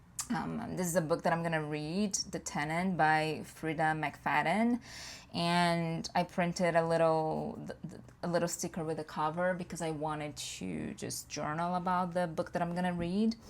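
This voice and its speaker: The speaker has a Portuguese accent and fairly even intonation at a moderate pace. The recording is very clean, with a silent background. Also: woman, fairly low pitch for a woman. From Brazil. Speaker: planner youtuber. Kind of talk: casual chat. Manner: halting.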